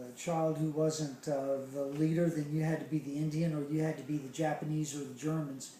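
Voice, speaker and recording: In an American accent, the speaker talks at a moderate pace with monotone, flat intonation and audible room echo. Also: man. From US South, Charleston, South Carolina. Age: 60s. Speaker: interviewee recalling childhood. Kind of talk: interview. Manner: hesitant, many fillers.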